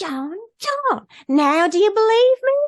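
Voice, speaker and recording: A put-on, squeaky, female-sounding character voice, extremely high-pitched, with very wide pitch swings and a fairly slow pace. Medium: read story.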